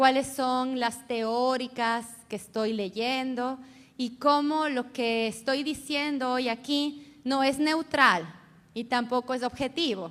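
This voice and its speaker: A woman's high-pitched voice at a very slow pace. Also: ordinary pitch variation. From Ecuador. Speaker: feminist researcher and professor. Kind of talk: conference talk.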